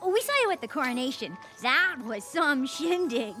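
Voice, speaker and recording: A cartoonish character voice, female-sounding and high-pitched, over clear music in the background. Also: moderate pace. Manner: casual, easygoing.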